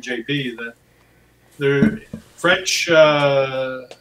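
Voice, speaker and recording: This man speaks with an Ontario accent at a fairly high pitch. His tone is bright and sharp, with ordinary pitch variation. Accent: Ontario Canadian English. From southwestern Ontario, Canada. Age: 60s. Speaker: farmer. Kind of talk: interview.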